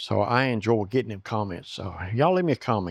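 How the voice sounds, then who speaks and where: In a Southern US accent, a man talks at a fairly quick pace. His pitch is fairly low, and the background is quiet. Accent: Southern US, noticeable. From US South. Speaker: woodworking YouTuber. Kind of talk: casual chat; tutorial. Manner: halting.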